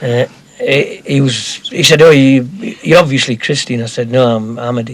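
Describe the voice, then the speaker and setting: Noticeable background noise accompanies a man speaking. His pace is moderate and his intonation fairly even. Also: medium pitch for a man. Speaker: community member. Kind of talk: casual chat.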